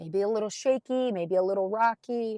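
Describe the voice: A woman speaks at a moderate pace with a medium pitch and ordinary pitch variation. Her tone is dark, mellow and raspy, recorded dry and close with no echo.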